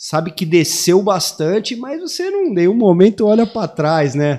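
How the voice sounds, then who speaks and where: A man's intonation is lively as he speaks at a moderate pace, with a quiet background behind him. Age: 40s. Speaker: big-wave foil surfer; podcast guest. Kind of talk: casual chat. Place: studio. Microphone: studio mic.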